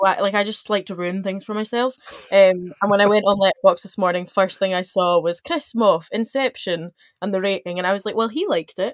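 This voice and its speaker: An ordinary speaking voice moves at a fairly quick pace with ordinary pitch variation, its sound dry and close with no echo. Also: woman, medium pitch for a woman. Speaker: university student. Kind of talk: casual chat. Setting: video call.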